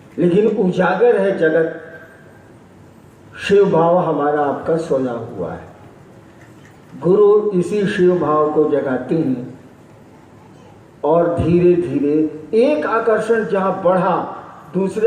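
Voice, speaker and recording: A man's high-pitched, lively intonation with long, frequent pauses, audible room echo and noticeable background noise. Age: 60s. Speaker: spiritual teacher. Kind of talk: spiritual discourse, Q&A.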